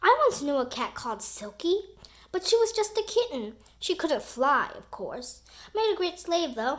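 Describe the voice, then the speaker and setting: A woman in a put-on character voice uses an extremely high pitch with very wide pitch swings at a moderate pace. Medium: read story. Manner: gruff pirate bluster.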